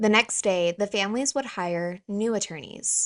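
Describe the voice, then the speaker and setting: A woman with an American accent and ordinary pitch variation, over a quiet background. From US South. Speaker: true crime YouTuber. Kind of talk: scripted narration.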